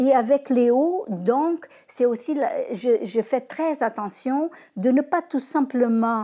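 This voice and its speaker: In a Portuguese accent, a woman speaks with a high pitch, lively intonation, and a dark, mellow tone. The recording is very clean, with a silent background. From Portugal. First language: Portuguese (speaking French). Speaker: grandparent interviewee. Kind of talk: testimony interview. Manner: halting, many hesitations.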